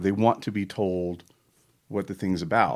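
Recorded very cleanly against a silent background, a man talks in an unremarkable speaking voice at a fairly low pitch. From Charlotte, North Carolina. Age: 40s. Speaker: musician. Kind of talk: casual chat.

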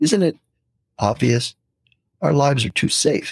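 The sound is dry and close with no echo as a man with an American accent talks at a moderate pace. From San Francisco, US West Coast. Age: 60s. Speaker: retired pastor, missionary and anthropology professor. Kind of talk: casual interview chat.

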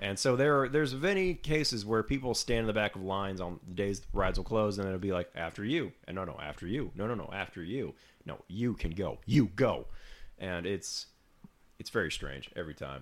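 In a plain, everyday voice, a man talks at a fairly quick pace and a fairly low pitch. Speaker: podcast co-host. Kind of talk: casual chat.

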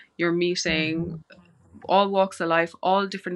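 Over a quiet background, a woman with a Cork accent speaks at a moderate pace and medium pitch, her tone bright and sharp, her intonation monotone and flat, the sound dry and close with no echo. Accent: Irish, Cork. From Ireland, West Cork. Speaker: osteopathy student and holistic healer. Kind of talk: podcast interview.

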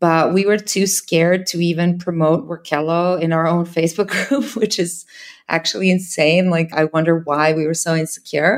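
A woman with a Serbian accent talks at a moderate pace with very even loudness. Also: fairly low pitch for a woman, ordinary pitch variation. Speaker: startup founder. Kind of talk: interview.

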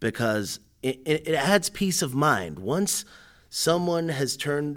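A man speaks with a southern New England accent and lively intonation. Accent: southern New England American. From Connecticut, Hartford area. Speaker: postal service business development specialist. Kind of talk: podcast interview.

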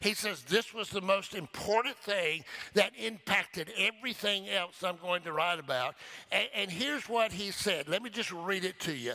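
A man's raised, projected voice, high in pitch with a bright, sharp tone, lively intonation and a moderate pace. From local to the church's town. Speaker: pastor. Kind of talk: sermon. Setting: church.

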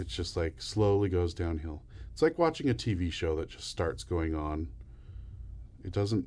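Over a quiet background, a man with a very deep, low pitch and a dark, mellow tone talks somewhat breathily at a fairly slow pace, with ordinary pitch variation and long, frequent pauses. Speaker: podcast co-host. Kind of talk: casual chat, ranking horror movies.

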